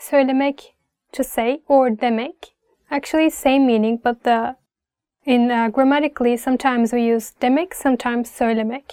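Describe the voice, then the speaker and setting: A woman's high voice in a Turkish accent, dark and mellow in tone, with very even loudness, fairly even intonation, and a dry, close sound with no echo. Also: moderate pace. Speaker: language teacher. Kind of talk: tutorial.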